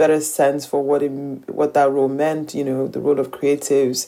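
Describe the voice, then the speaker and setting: With monotone, flat intonation, a woman speaks at a very deep, low pitch. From Nigeria. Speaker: fashion entrepreneur. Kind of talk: interview.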